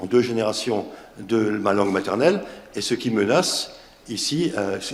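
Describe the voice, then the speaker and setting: Someone with an Alsatian accent speaks at a fairly slow pace, and room echo is audible. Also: man. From Alsace, France. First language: Alsatian (speaking French). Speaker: association organizer, panelist. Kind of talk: round table discussion. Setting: conference round table. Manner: hesitant, repetitive.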